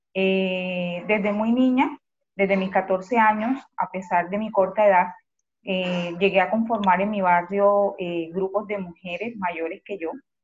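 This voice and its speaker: A somewhat breathy woman's voice at medium pitch, with a Colombian Caribbean accent, fairly even intonation and a fairly slow pace. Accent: Colombian Caribbean coastal Spanish. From Colombia, Cartagena. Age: 40s. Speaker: community organizer. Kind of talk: interview.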